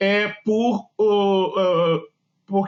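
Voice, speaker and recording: A man talks in a high pitch. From Brazil, Rio de Janeiro. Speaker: engineer presenting software. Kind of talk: webinar presentation. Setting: online webinar. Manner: hesitant, many filler words.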